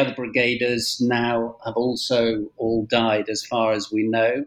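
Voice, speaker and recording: The delivery is very slow, with a monotone, flat intonation and hardly any pauses. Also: man. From England. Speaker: historian and journalist, book author. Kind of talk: interview, academic discussion. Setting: remote interview, speaking from Spain.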